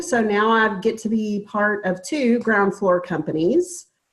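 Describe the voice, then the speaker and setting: A woman at medium pitch in a Texan accent, at a fairly slow pace. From Texas, small town east of Dallas. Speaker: registered nurse presenting a supplement product. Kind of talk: sales pitch. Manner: halting.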